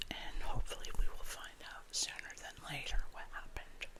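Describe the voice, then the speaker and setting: The speaker is a woman, and she is whispering. She goes at a fairly slow pace. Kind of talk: ASMR crime story reading with casual talk to camera. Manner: soft-spoken, whispered.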